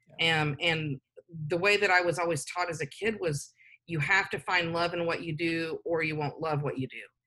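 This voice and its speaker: Speaking at a moderate pace, a woman has an ordinary speaking voice, fairly low in pitch, with fairly even intonation. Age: 50s. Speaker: nonprofit executive director. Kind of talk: interview.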